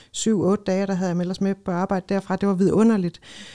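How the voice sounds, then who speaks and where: A woman's dark, mellow tone comes through in a very clean recording with a silent background. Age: 40s. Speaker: ethnologist and lifestyle expert. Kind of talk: casual chat.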